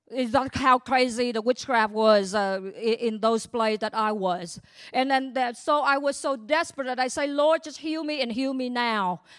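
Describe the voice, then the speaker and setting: With a Vietnamese accent, this bright, sharp voice moves at a moderate pace with ordinary pitch variation on a very clean recording against a silent background. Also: woman. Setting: church.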